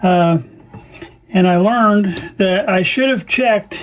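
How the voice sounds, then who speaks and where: Over noticeable background noise, a man speaks at a very slow pace with a high pitch. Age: 60s. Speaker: radio restoration hobbyist. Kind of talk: tutorial. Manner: casual, halting with fillers.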